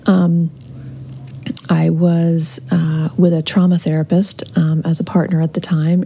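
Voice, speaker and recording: A woman speaks in a fairly low pitch with monotone, flat intonation over noticeable background noise. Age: 50s. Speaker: listener submitting question. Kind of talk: recorded voice message, personal account. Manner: halting, with fillers.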